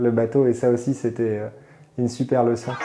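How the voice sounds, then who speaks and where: At a moderate pace, a man speaks in a medium pitch. His intonation stays monotone and flat. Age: 30s. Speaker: internist doctor. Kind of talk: interview answer. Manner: hesitant, calm.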